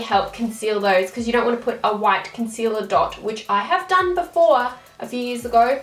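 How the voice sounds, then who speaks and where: With noticeable background noise behind her, a woman with an Australian accent talks at a fairly quick pace in a fairly high pitch. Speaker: beauty vlogger. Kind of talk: tutorial. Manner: fast; casual.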